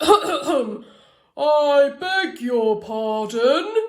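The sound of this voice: This put-on character voice is high-pitched and growling.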